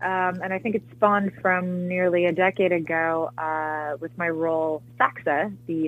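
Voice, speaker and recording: A woman speaks at a medium pitch with music in the background. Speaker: actress. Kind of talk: casual interview.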